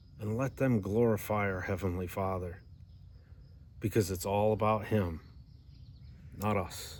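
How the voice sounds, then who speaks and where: Delivery is fairly slow, with long, frequent pauses and fairly even intonation. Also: man, fairly low pitch for a man. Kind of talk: Bible teaching video. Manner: slow, deliberate.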